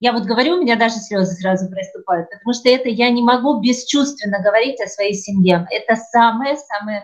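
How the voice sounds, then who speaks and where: At a moderate pace and with ordinary pitch variation, a woman talks in a somewhat breathy voice. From Ukraine. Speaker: theatre studio director, trained TV presenter and actress. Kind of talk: casual interview conversation. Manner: animated.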